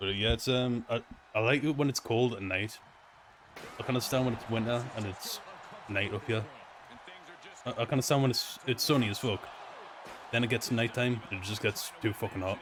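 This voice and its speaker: With a Newcastle accent, a man speaks at a fairly quick pace, with a medium pitch and ordinary pitch variation. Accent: Newcastle (Geordie), noticeable. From northern England, Newcastle. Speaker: gaming streamer. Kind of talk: casual live-stream chat while gaming. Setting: quiet empty room at home, late night. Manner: rambling, casual.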